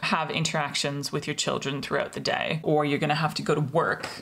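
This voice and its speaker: With noticeable background noise behind her, a woman with a very deep, low pitch speaks at a very fast pace. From Australia. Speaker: mental health vlogger. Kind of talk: personal explainer video. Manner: casual, conversational.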